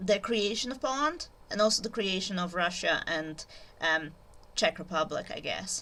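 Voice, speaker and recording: In a non-native accent, a woman with a medium pitch and a bright, sharp tone speaks at a moderate pace. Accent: noticeable foreign. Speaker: YouTuber, literature educator. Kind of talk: informal lecture. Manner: hesitant, many fillers.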